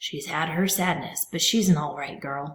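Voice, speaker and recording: A soft-spoken, raspy, put-on character voice at a middle pitch and moderate pace. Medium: read story. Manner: soft, low.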